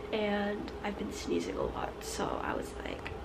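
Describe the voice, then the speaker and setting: A woman speaks at a very slow pace against loud background noise. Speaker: vlogger. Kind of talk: casual vlog chat. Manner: stuffy-nosed, congested sick voice. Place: home room. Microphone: phone near.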